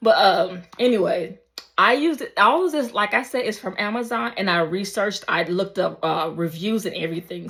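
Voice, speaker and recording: Speaking at a moderate pace, a woman with an unremarkable speaking voice uses lively intonation at a medium pitch. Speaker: beauty vlogger. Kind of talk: casual vlog talk. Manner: casual, filler-heavy.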